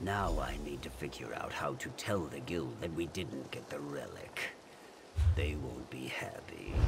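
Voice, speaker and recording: A man puts on a character voice, moving at a moderate pace. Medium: machinima. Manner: dry, weary, deadpan.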